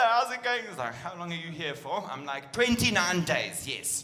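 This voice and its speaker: A man with a South African accent speaks fairly quickly in a raised, projected voice, high-pitched for a man and animated, with very wide pitch swings, noticeable background noise and audible room echo. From South Africa, Durban. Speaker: comedian. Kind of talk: stand-up. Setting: stage with audience.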